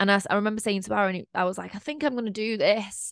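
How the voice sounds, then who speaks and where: A woman with a Mancunian accent and ordinary pitch variation, dry and close with no echo, over a quiet background. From Manchester, England. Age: 20s. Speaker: podcast host and mindset coach. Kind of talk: casual solo monologue.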